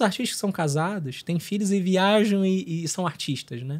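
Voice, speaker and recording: A high-pitched male voice with lively intonation. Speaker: consecrated lay missionary, record label head. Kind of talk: casual podcast interview. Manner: halting, with many fillers and repetitions.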